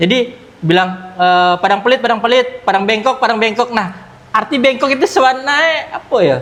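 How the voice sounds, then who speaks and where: Over noticeable background noise, a man talks at a fairly quick pace with an extremely high pitch. His loudness stays very even throughout. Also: ordinary pitch variation. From Jakarta, Indonesia (Minang family). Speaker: football club founder. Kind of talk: podcast interview.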